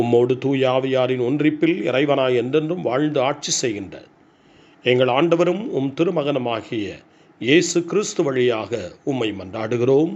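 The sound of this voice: Medium in pitch and slightly mellow in tone, a man talks at a moderate pace with ordinary pitch variation.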